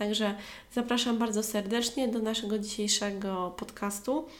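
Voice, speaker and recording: A woman with a Polish accent, fairly high pitch, fairly even intonation and a moderate pace. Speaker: English teacher and podcaster. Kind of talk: solo podcast monologue, educational.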